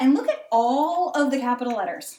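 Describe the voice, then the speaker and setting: The speaker is a woman with a high voice. She uses lively intonation. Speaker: elementary school teacher. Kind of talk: tutorial for young children. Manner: animated.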